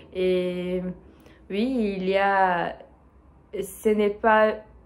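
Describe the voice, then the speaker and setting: A woman of medium pitch speaks with a non-native accent in a monotone, flat intonation. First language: not French (speaking French). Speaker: French learner vlogger. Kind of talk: solo monologue for language practice. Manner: halting, many hesitations.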